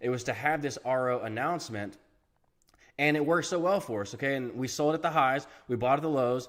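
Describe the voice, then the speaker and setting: A man with a fairly high pitch speaks at a fairly quick pace in an animated tone, his pitch varying in an ordinary way. The recording is very clean with a silent background. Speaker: finance YouTuber. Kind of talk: casual investing commentary video. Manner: fast.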